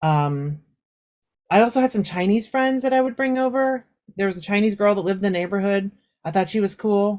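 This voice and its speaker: The speaker uses a Southern California accent, talking at a fairly quick pace with lively intonation. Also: woman, medium pitch for a woman. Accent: Southern California suburban American. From US West Coast, suburbs of Los Angeles. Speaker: Japanese teacher. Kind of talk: interview conversation. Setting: audio-only podcast recording. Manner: casual, with many fillers.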